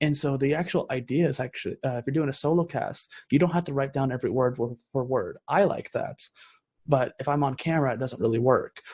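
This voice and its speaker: With a dry, close sound and no echo, a somewhat breathy man talks very fast at a fairly high pitch with fairly even intonation. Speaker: podcaster and entrepreneur. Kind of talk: podcast conversation.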